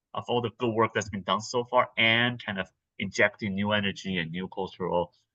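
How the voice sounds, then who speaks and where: A man with a Mandarin accent speaks at medium pitch with ordinary pitch variation. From Taiwan. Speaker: actor and theatre artist. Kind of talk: interview. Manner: halting, many fillers and repeats.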